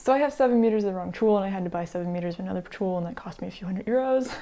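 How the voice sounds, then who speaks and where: A woman's voice has a dark, mellow tone. Her pitch variation is ordinary. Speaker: sewing content creator. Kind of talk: casual talk to camera.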